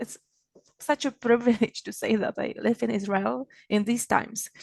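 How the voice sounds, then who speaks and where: A woman with a Czech accent speaks at a moderate pace in a fairly high voice with fairly even intonation. The background is quiet. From Czech Republic. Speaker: magazine founder and event organizer. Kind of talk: opening remarks at online event. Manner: halting, many fillers and restarts.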